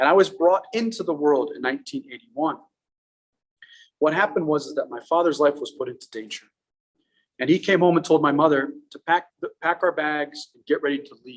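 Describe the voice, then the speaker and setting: A man with an Iranian accent speaks at a fairly quick pace in a fairly high pitch, with ordinary pitch variation and big swings in loudness. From Afghanistan, Pakistan and the USA. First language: Farsi. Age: 30s. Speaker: public speaker. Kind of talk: talk to a live audience. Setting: art gallery with live audience.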